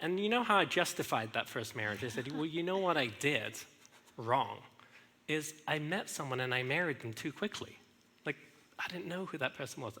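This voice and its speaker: Here a man with an English accent has a fairly high, bright, sharp voice. His intonation is lively and his pace moderate. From England. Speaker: speaker sharing marriage story. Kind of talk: testimony. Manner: halting, many fillers.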